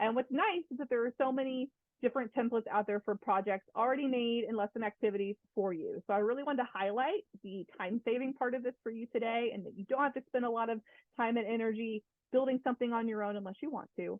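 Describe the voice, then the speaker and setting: A woman speaks very fast at a fairly high pitch with ordinary pitch variation. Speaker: instructional technology coach. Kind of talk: webinar presentation.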